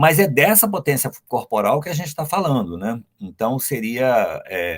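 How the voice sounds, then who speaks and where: With vocal fry and very wide pitch swings, a man talks with hardly any pauses. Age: 60s. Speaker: anthroposophic doctor. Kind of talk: interview. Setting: live stream. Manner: halting.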